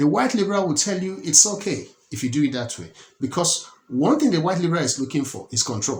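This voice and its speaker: This man talks very fast with a fairly high pitch and very wide pitch swings. His voice is somewhat breathy, with a Nigerian accent. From Nigeria (Lagos). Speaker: political commentator. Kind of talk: political commentary monologue. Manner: halting, many repetitions and restarts.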